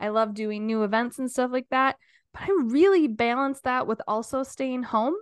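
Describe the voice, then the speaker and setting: The background is quiet. A woman speaks in a high voice. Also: ordinary pitch variation, moderate pace. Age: 30s. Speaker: podcast co-host. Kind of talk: casual chat.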